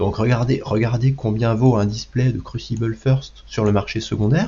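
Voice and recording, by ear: This man has a medium pitch and a dark, mellow tone, speaking at a moderate pace with fairly even intonation.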